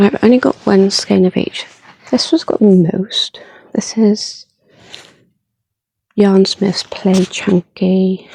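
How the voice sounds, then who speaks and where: The voice is soft-spoken, very slow and broken by long, frequent pauses. The sound is dry and close, with no echo. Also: woman, medium pitch for a woman, ordinary pitch variation. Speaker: crochet vlogger. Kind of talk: casual vlog.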